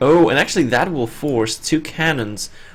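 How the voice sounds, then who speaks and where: Music plays in the background as a man speaks with ordinary pitch variation. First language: not English. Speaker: esports caster. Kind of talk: live commentary.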